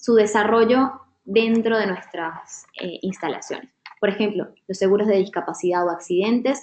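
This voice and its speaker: At a moderate pace, a woman with a fairly high pitch talks in a dark, mellow tone with fairly even intonation. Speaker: workshop facilitator. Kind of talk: online training session.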